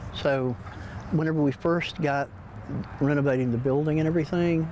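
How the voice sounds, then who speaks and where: The speaker has an American accent and a moderate pace. Noticeable background noise runs under the voice. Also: man. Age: 60s. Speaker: antique shop owner. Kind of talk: news interview. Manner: halting.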